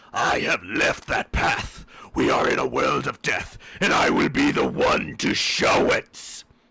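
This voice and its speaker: This man's delivery is fairly slow. He uses a put-on, raspy character voice. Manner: spooky, ominous.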